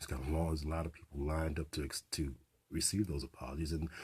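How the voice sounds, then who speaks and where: At a moderate pace, the speaker talks in a somewhat breathy voice. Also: man. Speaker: community radio host. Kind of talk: radio host opening monologue with political commentary. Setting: radio studio broadcast.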